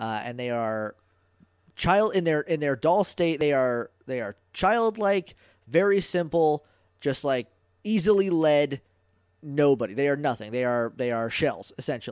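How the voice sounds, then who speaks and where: At a fairly slow pace, the speaker talks with an American accent in a very clean recording with a silent background. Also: man, fairly high pitch for a man. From New Hampshire, US. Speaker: podcast guest, TV fan. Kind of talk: casual chat. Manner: halting, many fillers and repeats.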